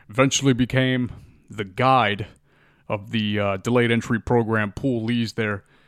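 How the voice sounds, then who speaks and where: A man with an American accent speaks at a moderate pace, medium-pitched, with monotone, flat intonation. The recording is very clean with a silent background and a dry, close sound with no echo. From Miami, Florida. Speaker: podcast host, Marine Corps veteran. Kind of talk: casual monologue.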